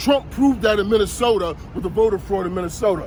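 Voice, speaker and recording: Over noticeable background noise, a man with a New York accent speaks in an animated tone at a moderate pace. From Brooklyn, New York (Bushwick/Williamsburg). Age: 50s. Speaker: passerby interviewed on the street. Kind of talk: street interview, heated political talk. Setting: outdoors on a city street. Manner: animated, talks over the interviewer.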